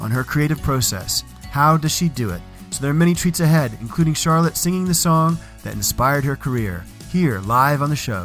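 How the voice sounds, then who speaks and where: Music plays behind a man who talks at a fairly quick pace, his fairly high pitch carried by lively intonation. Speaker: podcast host. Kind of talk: podcast intro narration.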